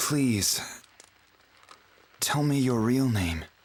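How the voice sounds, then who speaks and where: A man uses a put-on character voice that is husky and soft-spoken, at a medium pitch. His intonation is lively. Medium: video game. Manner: emotional, soft.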